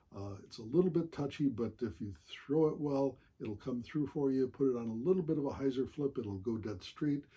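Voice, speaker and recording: A man speaks in a dark, mellow, somewhat breathy tone. His pitch varies in an ordinary way. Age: 70s. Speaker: amateur disc golfer. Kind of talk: equipment show-and-tell. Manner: frequent hesitations, many uhs.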